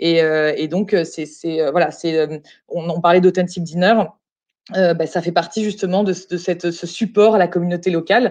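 Here a woman speaks at a moderate pace. Her pitch sits fairly low, and her intonation stays fairly even. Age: 30s. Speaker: hotel group employee, expatriate. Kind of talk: casual interview. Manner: halting.

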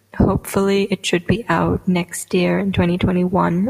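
Over noticeable background noise, a woman speaks at a medium pitch and a fairly slow pace. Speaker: podcast host and aspiring poet. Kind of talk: casual solo podcast monologue. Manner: nervous, chatty, filler words.

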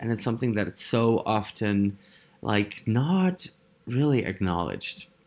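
A man's medium-pitched voice with a Dutch accent, fairly slow and with lively intonation. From Netherlands. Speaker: podcast host, personal development facilitator. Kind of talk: solo monologue podcast. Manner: animated, frequent fillers and laughs.

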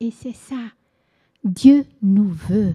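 Dry and close with no echo, a woman's somewhat breathy voice comes through in a fairly high pitch, with a dark, mellow tone and lively intonation. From Angola, Portuguese parents. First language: Portuguese (speaking French). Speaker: church worker and author. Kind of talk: testimony.

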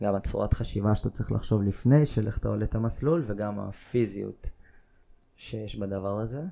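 This man has a fairly low pitch and a dark, mellow tone, talking at a moderate pace. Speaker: climbing gym owner. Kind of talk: casual chat.

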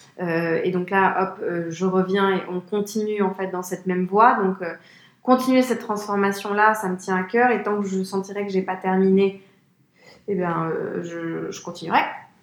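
Her pitch medium and intonation monotone and flat, a woman speaks at a fairly slow pace. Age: 30s. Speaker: business executive at a trend forecasting firm. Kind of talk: interview.

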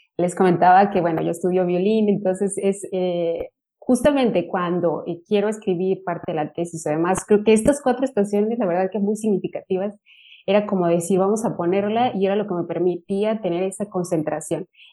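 A woman with a dark, mellow tone talks at a fairly quick pace at a medium pitch, her pitch varying in an ordinary way. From Mexico, Michoacán. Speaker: university lecturer and doctoral student. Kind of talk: panel discussion.

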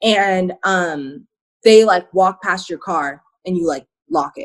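A woman with an American accent speaks in an ordinary speaking voice at a fairly slow pace, with lively intonation. The recording is very clean, with a silent background. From Arizona. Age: 20s. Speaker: activist and content creator. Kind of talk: casual interview.

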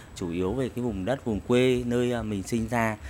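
A man's medium-pitched voice carries lively intonation at a moderate pace. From Vietnam, Thanh Hóa province. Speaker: writer. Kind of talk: interview. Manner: halting.

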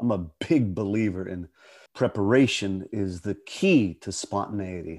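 With an American accent and a normal speaking voice, a man talks at a fairly slow pace and a fairly low pitch, with ordinary pitch variation. The recording is very clean, its background silent. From western Pennsylvania. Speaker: actor. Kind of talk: interview conversation.

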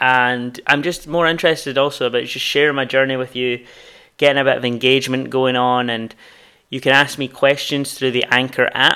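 A man's medium-pitched voice, fairly quick, bright and sharp in tone, with monotone, flat intonation. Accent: Scottish. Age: 20s. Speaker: podcast host and new graduate starting a business. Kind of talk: solo introductory podcast monologue. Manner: casual, slightly halting with fillers.

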